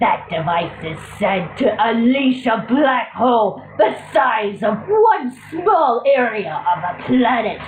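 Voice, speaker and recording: A fairly high, female-sounding put-on character voice moves at a fairly slow pace, with slight echo and clear background noise. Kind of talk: villain theatrics. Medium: read story. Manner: haughty, condescending.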